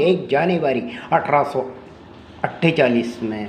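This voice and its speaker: A man speaks in a Marathi accent, his pitch swinging very widely. Room echo is audible, and there is noticeable background noise. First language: Marathi (speaking Hindi). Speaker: speaker on social reform. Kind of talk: speech. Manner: halting, repetitive.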